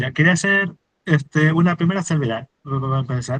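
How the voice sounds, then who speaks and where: A man's somewhat breathy voice at a fairly quick pace, dry and close with no echo. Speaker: fundraising and marketing expert, workshop speaker. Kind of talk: workshop talk. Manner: fast, words run together; many fillers (este, eh).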